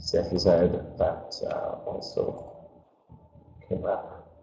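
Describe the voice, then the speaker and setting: A man's voice with audible room echo. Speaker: webinar presenter. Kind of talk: webinar presentation. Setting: webinar video call. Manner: casual, hesitant with fillers. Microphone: switching between camera mic and built-in mic.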